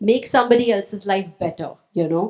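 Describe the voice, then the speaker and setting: At a fairly quick pace, a woman talks in a medium pitch. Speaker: author. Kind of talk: panel discussion. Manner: fast.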